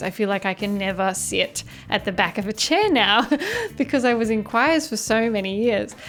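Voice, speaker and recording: With music in the background, a woman talks at a moderate pace and ordinary pitch variation. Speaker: podcast producer and vocal coach. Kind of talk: tutorial. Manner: instructive.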